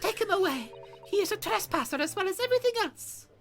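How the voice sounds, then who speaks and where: A woman's put-on character voice in an extremely high pitch, dramatic in tone, very fast, with very wide pitch swings and faint music in the background. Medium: game stream. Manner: shrill, dramatic.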